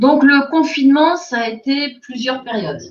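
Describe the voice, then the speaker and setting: Lively intonation from a woman, high in pitch, at a moderate pace. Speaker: communication agency director. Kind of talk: webinar presentation.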